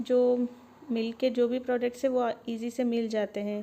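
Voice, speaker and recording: A woman speaks with a high pitch and a dark, mellow tone. Her intonation stays fairly even. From Bangalore, India. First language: Dakhini Urdu-Hindi mix (speaking Hindi). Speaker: vlogger. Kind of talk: shopping vlog narration. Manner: casual, conversational.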